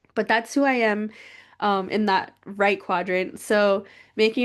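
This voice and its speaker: A normal speaking voice with fairly even intonation is heard over a quiet background. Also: woman. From Crow Reservation, southeastern Montana. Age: 30s. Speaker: PhD researcher. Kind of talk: presentation.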